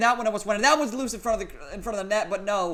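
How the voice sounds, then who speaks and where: Loud and animated, a man speaks at a very fast pace in a bright, sharp tone. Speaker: gaming commentator. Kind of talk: live commentary.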